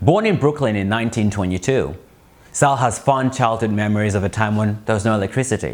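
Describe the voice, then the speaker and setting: A man talks in a plain, everyday voice at a medium pitch. His pace is fairly quick, with ordinary pitch variation. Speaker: interviewer. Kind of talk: documentary narration.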